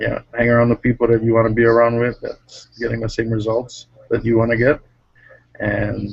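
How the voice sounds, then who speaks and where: A man speaks quietly at a moderate pace. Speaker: network marketing member. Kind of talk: casual chat on video call. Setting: video call from workplace.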